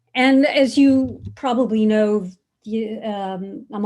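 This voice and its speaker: A woman's fairly high voice sounds dark, mellow and somewhat breathy. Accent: American. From United States. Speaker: author and human rights scholar. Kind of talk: lecture.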